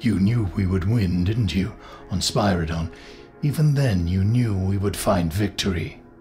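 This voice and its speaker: A man's put-on character voice, gruff, growling and fairly low, at very even loudness with clear music in the background. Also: moderate pace, ordinary pitch variation. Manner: grim, gruff, guarded; intense, pressing.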